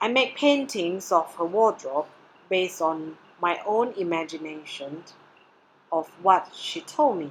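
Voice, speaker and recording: Using lively intonation, a woman with a Mandarin accent talks at a fairly slow pace and medium pitch. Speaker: doctoral candidate presenting research. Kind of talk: presentation. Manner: formal.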